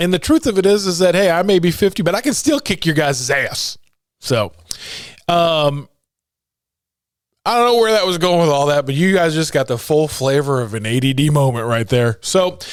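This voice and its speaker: A man with a fairly high pitch speaks in an animated tone at a moderate pace. He leaves long, frequent pauses. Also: lively intonation, very clean recording, silent background. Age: 50s. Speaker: motivational speaker and podcast host. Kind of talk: casual monologue.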